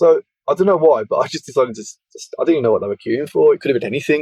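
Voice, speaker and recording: Speaking at a very fast pace, a man comes through in a dry, close sound with no echo. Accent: Birmingham. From England, Birmingham. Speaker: evidential medium and spiritualist minister. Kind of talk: interview, personal life story. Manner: halting, frequent repetitions.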